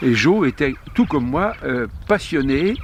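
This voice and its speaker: A man with a fairly high voice speaks in lively intonation while noticeable background noise carries on. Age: 70s. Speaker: former international cycling commissaire. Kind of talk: interview answer.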